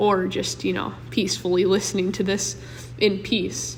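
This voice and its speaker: A woman talks at a moderate pace, and room echo is audible. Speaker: podcast host. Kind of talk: casual monologue. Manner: voice cracks.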